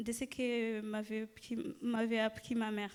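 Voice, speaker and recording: A woman's voice at a very slow pace. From Rwanda. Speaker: church member giving testimony. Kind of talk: testimony. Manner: halting, many hesitations.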